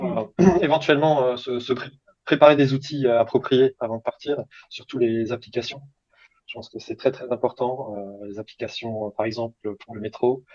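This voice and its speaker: At a moderate pace, the speaker's loudness swings widely, pitch varies in an ordinary way, long pauses come often, and the sound is dry and close with no echo. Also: man, medium pitch for a man. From France. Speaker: language student. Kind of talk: interview. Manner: halting, many hesitations.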